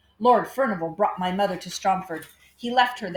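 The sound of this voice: The voice is an unforced reading voice. Its pitch variation is ordinary.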